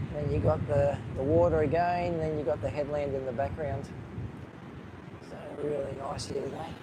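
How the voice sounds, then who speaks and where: Speaking with an Australian accent, a man uses a fairly high voice with ordinary pitch variation at a moderate pace, broken by long, frequent pauses. Noticeable background noise and audible room echo surround him. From Australia, Gold Coast area. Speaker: live-streaming vlogger. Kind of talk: live-stream vlog, casual commentary. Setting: outdoors on a beach. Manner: casual, hesitant with fillers.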